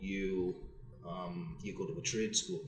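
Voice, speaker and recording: Amid noticeable background noise and audible room echo, a man talks at a fairly slow pace with ordinary pitch variation. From northern England, Wallsend, Newcastle. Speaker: painting company owner. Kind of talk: live podcast discussion. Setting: podcast suite at expo.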